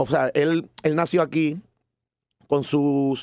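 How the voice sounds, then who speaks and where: With a plain, everyday voice, a man talks at a fairly high pitch with fairly even intonation in a dry, close sound with no echo. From Puerto Rico, San Juan. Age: 40s. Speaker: musician and cultural manager. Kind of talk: interview.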